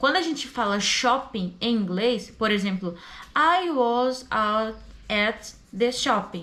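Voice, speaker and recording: Intonation is lively in this woman's speech. She talks at a very slow pace. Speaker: language student and English teacher. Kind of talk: tutorial. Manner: casual.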